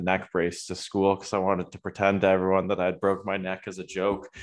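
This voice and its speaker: A man with a Canadian accent, a plain, everyday voice, fairly low pitch and a fairly quick pace. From Ontario, Waterloo. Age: 20s. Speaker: college soccer goalkeeper. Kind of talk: casual chat.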